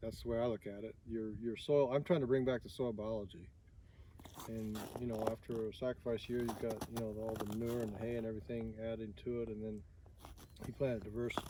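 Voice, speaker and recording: With a Midwestern US accent, the speaker moves at a fairly quick pace with fairly even intonation. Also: man, medium pitch for a man. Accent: US Midwest. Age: 60s. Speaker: farmer. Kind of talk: interview. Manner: halting.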